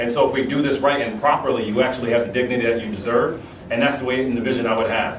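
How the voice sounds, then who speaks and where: Amid noticeable background noise and audible room echo, a man with a medium pitch talks at a very fast pace in a monotone, flat way. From Jamaican heritage. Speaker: mayoral candidate. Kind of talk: political forum answers. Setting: union hall forum with audience.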